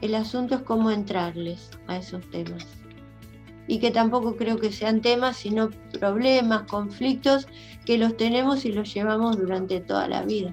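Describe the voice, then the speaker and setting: Music plays behind a woman speaking at a fairly slow pace. Her voice is fairly high-pitched, with fairly even intonation. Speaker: children's book writer and teacher. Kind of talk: interview answer.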